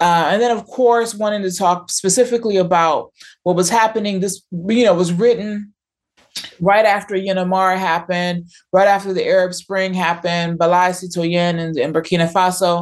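An unremarkable speaking voice from a woman with an American accent, medium-pitched with fairly even intonation, at a moderate pace. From US. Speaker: professor. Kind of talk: interview.

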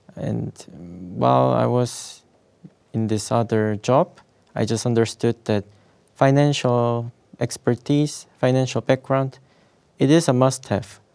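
In a Korean accent, a man speaks fairly slowly at medium pitch in a dark, mellow tone with ordinary pitch variation and long, frequent pauses, the sound dry and close with no echo in a very clean recording with a silent background. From South Korea. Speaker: finance student and specialist. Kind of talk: interview.

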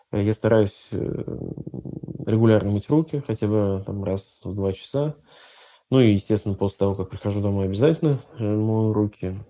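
A man with a plain, everyday voice, fairly low in pitch, at a moderate pace. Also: ordinary pitch variation. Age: 30s. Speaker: IT entrepreneur. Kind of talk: interview testimony.

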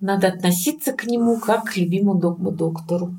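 A woman with a normal speaking voice talks at a medium pitch. Her pace is fairly slow. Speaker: dental surgeon. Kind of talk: interview.

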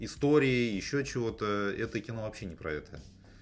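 Lively intonation at a moderate pace, in a man's normal speaking voice of medium pitch. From Russia, outside the capital. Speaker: film podcast host. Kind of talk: casual chat.

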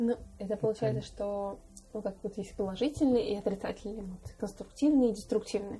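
Very fast and somewhat breathy, the woman's fairly high voice has a dark, mellow tone and fairly even intonation. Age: 20s. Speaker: podcast host. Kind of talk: casual chat.

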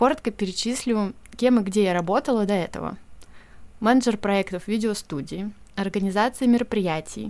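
A woman uses a normal speaking voice, pitched at a medium level with ordinary pitch variation. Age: 30s. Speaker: podcast host, editor and brand communications specialist. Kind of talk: solo podcast monologue.

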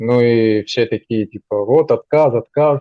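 Using an unremarkable speaking voice, a man talks at a fairly slow pace and a medium pitch. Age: 20s. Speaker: junior software developer. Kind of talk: interview. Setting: call.

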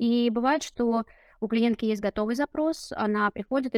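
On a very clean recording with a silent background and a dry, close sound with no echo, a woman speaks with fairly even intonation. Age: 30s. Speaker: case manager at a domestic violence charity. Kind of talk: interview.

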